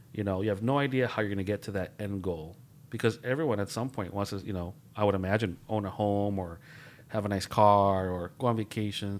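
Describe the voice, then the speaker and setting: A man speaks at a fairly quick pace with a fairly low pitch. He has an ordinary speaking voice and fairly even intonation. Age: 40s. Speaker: director of veteran services, podcast co-host. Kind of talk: casual chat.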